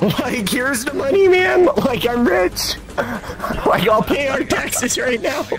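Over clear background noise, a man does a put-on character voice at an extremely high pitch and a fairly slow pace. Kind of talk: comic overacting. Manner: rambling, dopey, every sentence starting with "like".

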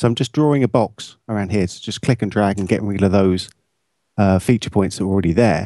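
In an English accent, the speaker moves at a fairly quick pace with a dark, mellow tone and ordinary pitch variation. The sound is dry and close with no echo, over a quiet background. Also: man, fairly low pitch for a man. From England. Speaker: post-production colorist and video editor. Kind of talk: software tutorial. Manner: casual, with frequent fillers.

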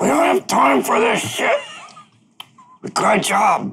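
A man whispers in a raspy, put-on character voice. He goes at a fairly slow pace over light background noise. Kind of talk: curt, casual, sweary. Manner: stage whisper.

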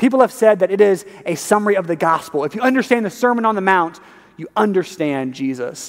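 A man speaks at a moderate pace. Behind him, the background is quiet. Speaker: preacher. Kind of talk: sermon. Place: church.

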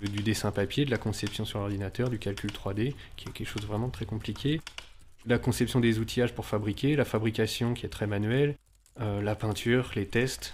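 Here is a plain, everyday voice from a man at a fairly low pitch. He keeps a moderate pace and fairly even intonation. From France, Nantes area. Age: 30s. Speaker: engineer and bicycle maker. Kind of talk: interview testimony.

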